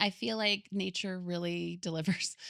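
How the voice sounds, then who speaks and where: A voice with a US Midwestern accent comes through on a very clean recording with a silent background. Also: woman. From US Midwest, Michigan and Chicago area. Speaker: podcast guest. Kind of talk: casual chat.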